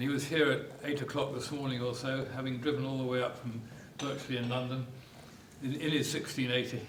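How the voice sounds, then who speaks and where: A man talks at a very fast pace in a medium-pitched, flat monotone. Audible room echo and noticeable background noise surround him. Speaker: club official chairing annual meeting. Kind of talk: address at club annual general meeting. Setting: hotel meeting room with audience. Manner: raised voice, shouting to room without mic. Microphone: microphone distorting a lot.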